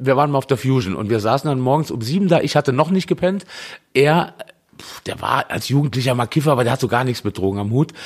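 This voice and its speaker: The man speaks at a very fast pace. His pitch is medium, with ordinary variation. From Saarland. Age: 40s. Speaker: punk band singer. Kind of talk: casual chat.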